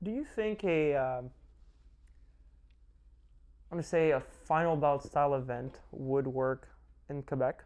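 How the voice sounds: Fairly slow pacing with long, frequent pauses, ordinary pitch variation and a slightly mellow tone. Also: man, fairly high pitch for a man.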